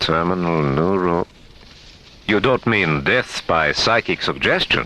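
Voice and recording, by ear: Putting on a character voice, a man with a low pitch talks at a slow pace in a bright, sharp tone with lively intonation.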